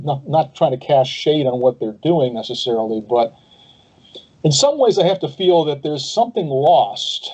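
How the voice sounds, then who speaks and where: A man with a normal speaking voice, a fairly high pitch, a moderate pace and big swings in loudness. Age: 60s. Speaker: pastor and podcast host. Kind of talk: interview.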